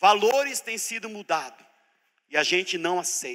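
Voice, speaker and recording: With a bright, sharp tone, a man raises and projects his high-pitched voice, his intonation lively. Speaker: preacher teaching a church seminar. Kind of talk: sermon-style teaching seminar. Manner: animated.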